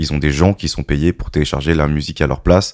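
Fairly quick and fairly even in intonation, a man with a very deep, low pitch and vocal fry speaks with a dry, close sound with no echo on a very clean recording with a silent background. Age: 30s. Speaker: DJ. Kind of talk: casual chat.

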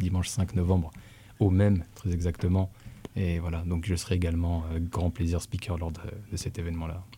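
Fairly quick, somewhat breathy delivery with a dark, mellow tone and fairly even intonation. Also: man. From Dijon, France. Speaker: hip-hop dancer. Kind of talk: casual chat.

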